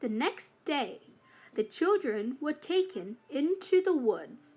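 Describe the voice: Speaking at a very slow pace, a woman makes big pitch swings.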